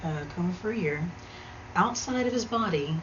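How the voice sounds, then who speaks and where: A soft-spoken woman talks at a moderate pace with ordinary pitch variation. Noticeable background noise and audible room echo surround her voice. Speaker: video blogger. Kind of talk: casual monologue storytelling. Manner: hesitant, many fillers.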